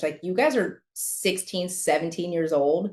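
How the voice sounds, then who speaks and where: An animated woman with an American accent at a fairly slow pace, ordinary pitch variation, and a quiet background. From California (San Diego). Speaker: former color guard performer and judge. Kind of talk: interview.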